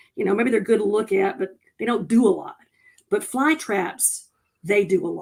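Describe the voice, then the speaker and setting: A woman with a North Carolina accent speaks at a moderate pace in a fairly high voice, her animated tone and lively intonation broken by long, frequent pauses. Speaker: conservation worker. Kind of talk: casual chat.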